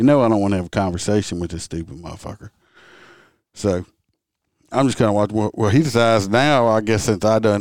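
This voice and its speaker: A man with a Southern US accent, fairly low pitch, ordinary pitch variation and a fairly quick pace. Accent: Southern US rural. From Louisiana.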